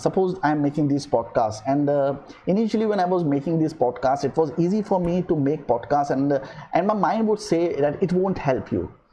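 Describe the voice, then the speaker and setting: A man with an Indian accent speaks at a fairly quick pace in a dark, mellow tone. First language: Hindi. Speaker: podcaster and filmmaker. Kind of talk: motivational monologue. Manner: hesitant, many fillers.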